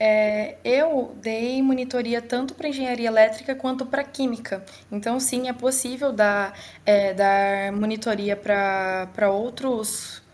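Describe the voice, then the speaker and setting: A woman's ordinary speaking voice, fairly high in pitch, at a fairly slow pace with ordinary pitch variation. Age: young. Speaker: engineering student and tutor. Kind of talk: casual panel discussion.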